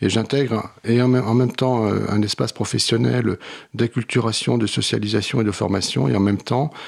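In a normal speaking voice, this man uses a fairly low pitch and ordinary pitch variation. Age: 50s. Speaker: social work trainer and author. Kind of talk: radio interview.

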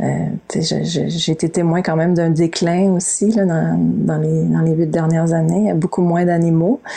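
Against noticeable background noise, a woman speaks at a fairly slow pace with very even loudness. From Quebec, Montreal. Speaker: novelist and environmental activist. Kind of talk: interview. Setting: video call. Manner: halting.

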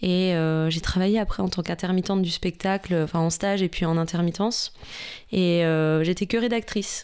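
In a very clean recording with a silent background, a woman of medium pitch speaks at a moderate pace with fairly even intonation and very even loudness. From Franche-Comté, Besançon. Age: 30s. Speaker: TV journalist. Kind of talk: interview.

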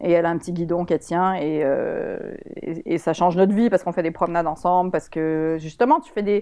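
A woman speaks with a fairly low pitch and a dark, mellow tone, her loudness swinging widely. The background is quiet. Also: ordinary pitch variation. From Quebec, Montreal. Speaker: author and columnist. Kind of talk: radio interview.

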